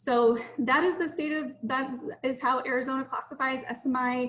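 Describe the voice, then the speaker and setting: A woman with a high pitch speaks at a moderate pace, her intonation fairly even. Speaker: mental health services manager. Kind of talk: online presentation.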